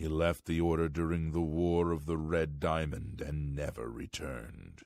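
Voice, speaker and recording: A man's put-on character voice, very deep and low, at a moderate pace on a very clean recording with a silent background. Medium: video game. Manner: formal, archaic.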